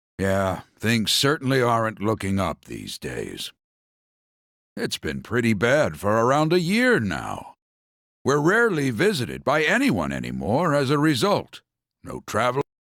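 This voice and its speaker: A man uses a put-on character voice at a medium pitch and a moderate pace. The recording is very clean, with a silent background. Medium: video game. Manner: warm, fatherly.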